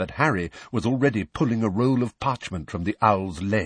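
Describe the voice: This is plain reading aloud, with ordinary pitch variation.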